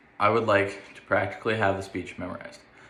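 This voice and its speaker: A man with an American accent speaks at a fairly quick pace in a fairly low, monotone, flat voice. Noticeable background noise and audible room echo fill the recording. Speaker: university student. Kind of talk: self-evaluation monologue.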